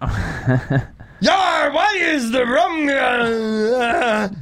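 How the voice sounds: A put-on character voice, fairly high in pitch, over light background noise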